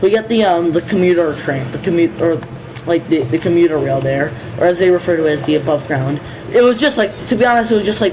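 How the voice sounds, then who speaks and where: Amid noticeable background noise, a man with a New England accent talks very fast in a high pitch, animated and excited, with lively intonation. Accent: New England American. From New England, US (Boston area). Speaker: gaming livestreamer. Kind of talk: casual livestream chat while gaming. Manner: halting, many fillers and restarts; animated, excited outbursts.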